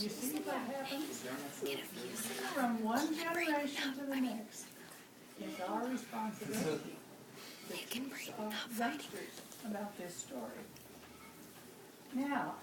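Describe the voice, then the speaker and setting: Against noticeable background noise, a woman talks at a fairly slow pace with long, frequent pauses, her pitch fairly high. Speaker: grandmother. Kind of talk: reading a picture book aloud to children.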